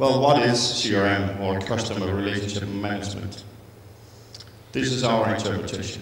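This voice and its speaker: A man with a Danish accent, fairly low-pitched, at a moderate pace with fairly even intonation, noticeable background noise and audible room echo. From Denmark, Copenhagen. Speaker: IT consulting manager. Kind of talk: conference presentation. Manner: halting, with fillers and restarts.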